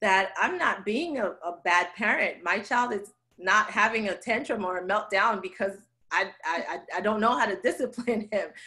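A woman's medium-pitched voice, bright and sharp in tone, with ordinary pitch variation. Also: moderate pace. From Haiti. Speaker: occupational therapist. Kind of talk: interview answer.

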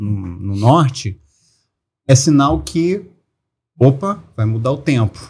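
A man's somewhat breathy, medium-pitched voice, very slow, with very wide pitch swings. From Brazil. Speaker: celebrity lookalike actor and comedian; celebrity lookalike actor, comedian. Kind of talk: casual chat. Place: studio. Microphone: studio mic.

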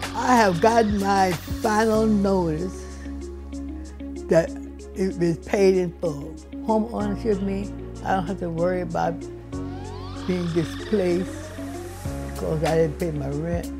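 A woman with an American accent speaks at a fairly slow pace, with long, frequent pauses. Clear music plays in the background. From Overtown, Miami, Florida. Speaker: longtime resident and homeowner. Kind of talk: interview answer. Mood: warm, grateful, proud. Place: home room.

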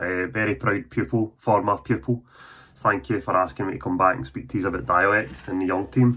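With a very deep, low pitch and a bright, sharp tone, a man talks at a moderate pace using lively intonation. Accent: Scottish. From Scotland. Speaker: author. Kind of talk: school presentation talk. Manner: casual, conversational. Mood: warm, earnest. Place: home room. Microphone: phone near.

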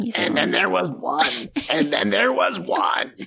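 A man speaks in a put-on character voice that is raspy and fairly high-pitched, at a fairly slow pace. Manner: creepy, eerie, repeating.

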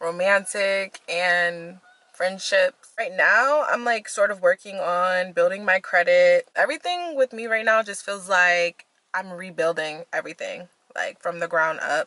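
A woman with a bright, sharp tone talks at a fairly slow pace using ordinary pitch variation, in a dry sound with no echo over a quiet background. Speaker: vlogger. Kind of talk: casual vlog chat. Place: car. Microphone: phone near.

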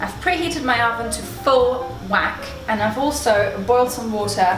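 A woman speaks in a high pitch. There is noticeable background noise. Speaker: channel host. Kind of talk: cooking tutorial. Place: kitchen. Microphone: camera far.

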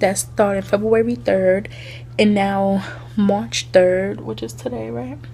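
A woman speaks very slowly, her loudness swinging widely. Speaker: vlogger. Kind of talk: casual vlog talk to camera. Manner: chatty, rambling with many fillers.

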